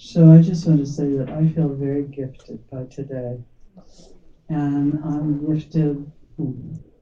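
A woman with a very deep, low pitch and a dark, mellow tone speaks in a flat monotone, somewhat breathy. Her loudness swings widely, and she leaves long, frequent pauses. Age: old. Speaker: founding meditation teacher. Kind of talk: heartfelt speech at community gathering.

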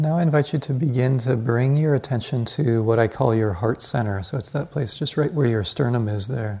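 A man at medium pitch with a dark, mellow, somewhat breathy tone, ordinary pitch variation, a fairly quick pace and hardly any pauses. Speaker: meditation teacher. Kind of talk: guided meditation; dharma talk. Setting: meditation retreat hall, live group. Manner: soft-spoken, reflective, with hesitant fillers.

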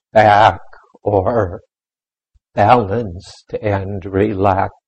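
The speech comes at a very slow pace, somewhat breathy, with monotone, flat intonation. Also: man. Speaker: meditation teacher. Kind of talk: guided meditation. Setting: meditation center, live in a room with a group. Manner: slow, soft-spoken, calm and gentle with long pauses; patient, instructive, inviting and unhurried.

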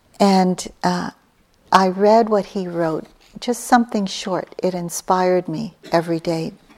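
A woman uses an ordinary speaking voice at a medium pitch, speaking at a fairly slow pace with fairly even intonation. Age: 60s. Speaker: meditation teacher. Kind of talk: dharma talk. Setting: meditation hall with retreat audience.

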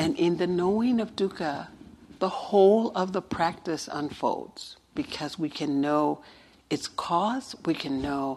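Speaking very slowly, a woman uses lively intonation at a fairly low pitch. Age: 60s. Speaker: meditation teacher. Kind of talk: dharma talk.

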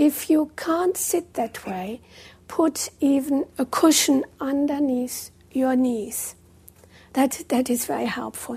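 A woman's high-pitched voice, dark and mellow in tone, with ordinary pitch variation and a very slow pace. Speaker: meditation teacher. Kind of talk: guided meditation. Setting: live retreat room with in-person audience. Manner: calm, slow and gently paced, with long pauses; soft-spoken and instructive.

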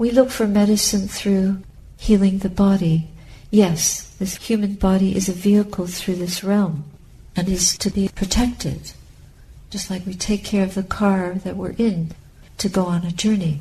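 A woman at medium pitch with a dark, mellow tone, somewhat breathy, at a moderate pace with fairly even intonation. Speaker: Buddhist nun giving a dharma talk. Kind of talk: dharma talk, calm and reflective teaching to a meditation group.

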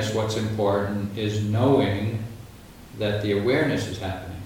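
Noticeable background noise surrounds a man speaking at a fairly low pitch and a fairly slow pace, with long, frequent pauses. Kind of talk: guided meditation. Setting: retreat room with an audience, live translation. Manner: calm, slow, gently paced, soothing instructions in short phrases.

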